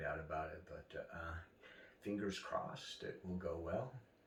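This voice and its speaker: A man talks at a moderate pace. The room echo is audible, and background noise is noticeable. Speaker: cancer patient vlogger. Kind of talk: personal video diary. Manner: halting with many fillers.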